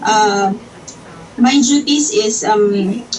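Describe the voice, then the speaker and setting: A woman speaks over noticeable background noise. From Philippines, Iloilo City. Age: 30s. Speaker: domestic helper job applicant. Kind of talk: job interview.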